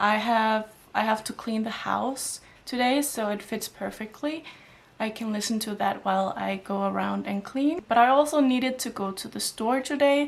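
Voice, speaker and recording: Pitched fairly high, a woman talks at a moderate pace with ordinary pitch variation. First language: not Danish or English. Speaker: book vlogger. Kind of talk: casual vlog talk. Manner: halting.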